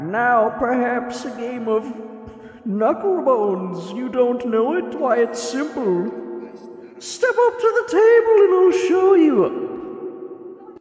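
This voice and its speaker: In a put-on character voice with a fairly high pitch, the speaker goes at a very slow pace, with clear echo. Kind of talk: old-fashioned. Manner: archaic, theatrical, inviting.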